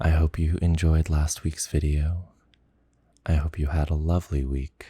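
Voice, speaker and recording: A soft-spoken man with a dark, mellow tone, somewhat breathy, at a fairly slow pace, in a dry, close sound with no echo. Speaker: ASMR storyteller. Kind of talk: bedtime story reading.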